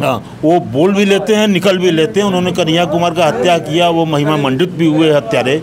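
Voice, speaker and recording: Over noticeable background noise, a man with a high pitch speaks at a moderate pace with hardly any pauses, very even loudness and ordinary pitch variation. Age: 60s. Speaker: local commentator. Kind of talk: street interview. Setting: at a tea shop.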